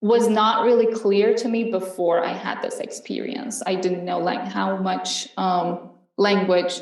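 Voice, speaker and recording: In an Iranian accent, a woman of medium pitch talks at a very slow pace with fairly even intonation and audible room echo. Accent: Iranian (Persian) accent in English. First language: Farsi. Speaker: panelist. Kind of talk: panel discussion. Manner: hesitant, many fillers.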